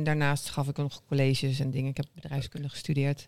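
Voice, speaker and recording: Very fast speech fills a very clean recording with a silent background. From Netherlands, Arnhem. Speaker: social entrepreneur. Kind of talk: interview. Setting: café.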